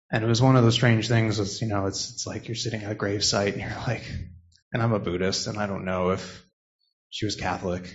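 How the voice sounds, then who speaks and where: A man speaks at a very fast pace with a somewhat breathy voice. His pitch is fairly low and his intonation fairly even. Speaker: student and meditation group member. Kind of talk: sharing in group discussion.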